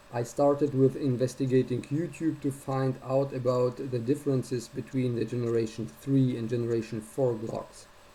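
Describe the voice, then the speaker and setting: At a moderate pace, a somewhat breathy voice with a non-native accent has a dark, mellow tone and fairly even intonation. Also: man, medium pitch for a man. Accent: heavy non-native. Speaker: gun owner sharing a fix. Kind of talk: first-person tutorial video. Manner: somewhat halting. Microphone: built-in notebook cam.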